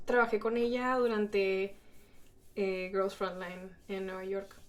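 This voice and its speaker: Speaking at a fairly slow pace, a woman with a Spanish accent has a medium pitch. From Mexico. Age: 20s. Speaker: streamer and cosplayer. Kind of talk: casual live stream chat. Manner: animated.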